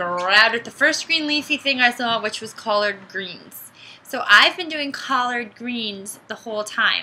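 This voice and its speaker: A woman speaks in a plain, everyday voice, fairly high in pitch with ordinary pitch variation. Her loudness swings widely. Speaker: vlogger. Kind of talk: casual vlog tutorial.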